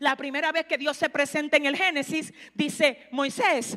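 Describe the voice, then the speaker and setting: A woman's high, bright, sharp voice, raised and projected, animated in tone at a moderate pace. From Dominican Republic. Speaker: pastor. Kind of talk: sermon.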